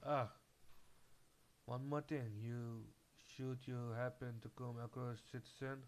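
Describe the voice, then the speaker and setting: With a non-native accent, a man speaks very slowly in a flat, monotone voice at medium pitch, leaving long, frequent pauses. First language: not English. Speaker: gamer. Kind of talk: reading game dialogue aloud.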